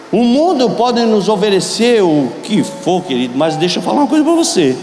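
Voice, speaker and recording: Music plays in the background, and audible room echo surrounds the voice. The pitch swings very widely while the loudness stays very even at a fairly quick pace. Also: man, high pitch for a man. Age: 70s. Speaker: pastor. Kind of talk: sermon. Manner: animated.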